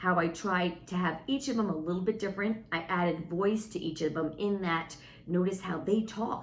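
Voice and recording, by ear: Someone is reading aloud in a natural voice.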